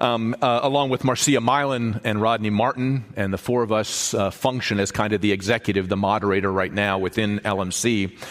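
Noticeable background noise sits under speech delivered at a moderate pace with very even loudness. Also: man, fairly low pitch for a man. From born in Mexico to US missionary parents. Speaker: bishop and guest preacher. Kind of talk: sermon. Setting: church. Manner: animated, halting repetitions.

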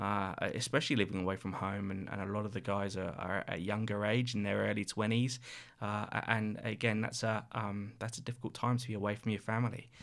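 Speaking very fast, a man keeps his intonation fairly even. Behind him is silence on a very clean recording. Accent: southern English. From Reading, southern England. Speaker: charity CEO. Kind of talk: casual interview chat.

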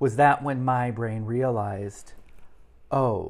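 Recorded very cleanly against a silent background, a man speaks in an unremarkable speaking voice with ordinary pitch variation. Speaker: podcast host. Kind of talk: casual interview chat. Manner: joking, playful.

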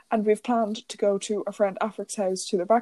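A woman speaks with an Irish accent at medium pitch, in a monotone, flat intonation. The sound is dry and close with no echo. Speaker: podcast co-host. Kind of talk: casual chat.

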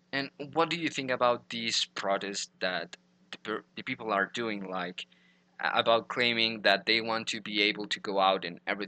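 A man with a Spanish accent speaks at medium pitch and a moderate pace. His tone is bright and sharp, with ordinary pitch variation. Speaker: podcast host. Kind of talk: interview.

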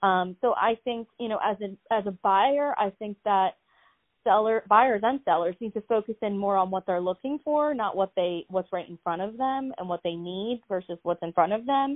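With an American accent, a woman with an ordinary speaking voice talks at a moderate pace and medium pitch with ordinary pitch variation. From US Northeast, Philadelphia. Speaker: real estate agent. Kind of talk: interview.

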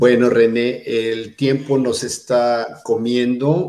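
A man's voice at a medium pitch. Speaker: fashion magazine editor and interviewer. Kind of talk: interview.

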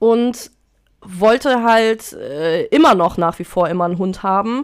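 The pace is fairly slow, and the pitch varies in an ordinary way. A very clean recording leaves the background silent. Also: woman. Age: 30s. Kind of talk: casual chat.

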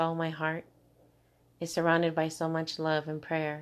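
A woman speaks at a moderate pace and fairly low pitch. Her intonation is flat and monotone over a quiet background. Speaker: poet. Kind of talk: spoken-word poem, intimate and heartfelt, read aloud. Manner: emotional, tender, measured pacing with vivid imagery.

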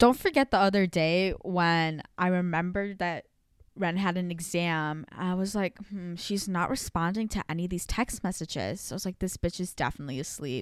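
A woman's medium-pitched, normal speaking voice with ordinary pitch variation and a moderate pace, on a very clean recording with a silent background. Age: young. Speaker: college student podcast co-host. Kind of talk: casual chat.

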